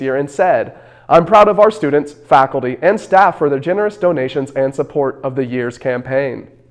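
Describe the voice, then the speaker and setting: Music plays in the background as a man speaks at a moderate pace. His voice is fairly high-pitched with lively intonation. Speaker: student TV news anchor. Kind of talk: TV news read.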